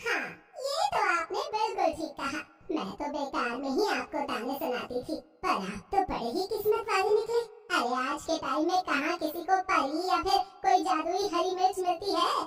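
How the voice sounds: A woman performs a cartoonish character voice at an extremely high pitch with lively intonation. She talks at a moderate pace, and there is clear echo.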